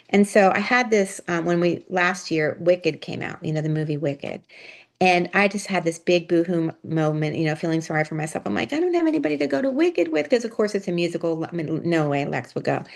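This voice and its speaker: In an American accent, a woman with a fairly low-pitched voice talks at a very fast pace with ordinary pitch variation. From US, Pittsburgh. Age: 60s. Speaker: retired nonprofit leader. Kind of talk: casual interview chat.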